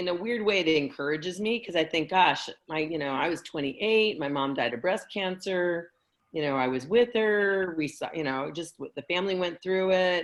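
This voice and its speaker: A woman with a plain, everyday voice speaks at a moderate pace, her fairly low pitch rising and falling in a lively way against a quiet background. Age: 60s. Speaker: networking group founder and host. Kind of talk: casual chat.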